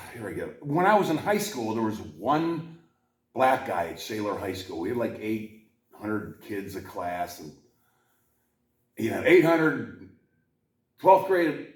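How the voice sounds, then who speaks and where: With an American accent, a man at medium pitch speaks at a fairly slow pace, with very wide pitch swings, big swings in loudness, long and frequent pauses, and audible room echo. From Pittsburgh area, US. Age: 60s. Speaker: podcast host. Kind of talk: casual chat.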